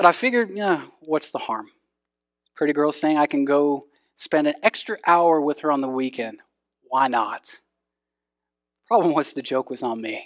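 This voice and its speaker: A man with a Texan accent speaks at a fairly high pitch and a moderate pace, his intonation lively. He leaves long, frequent pauses, and the recording is very clean with a silent background. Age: 30s. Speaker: pastor. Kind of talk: sermon.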